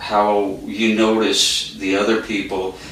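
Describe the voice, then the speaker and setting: Noticeable background noise and audible room echo surround a man speaking very slowly at a fairly low pitch. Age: 60s. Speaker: carpenter. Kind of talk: interview. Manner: halting.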